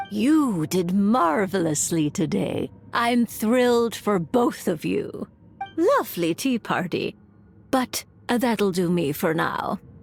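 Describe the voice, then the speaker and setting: A put-on character voice, female-sounding, at medium pitch and a fairly slow pace, with faint music in the background. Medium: video game. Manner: dry, measured.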